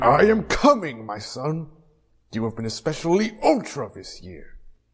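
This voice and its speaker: Over music in the background, a man uses a put-on character voice, talking at a moderate pace with a fairly high pitch. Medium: audio drama. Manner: heroic, bombastic.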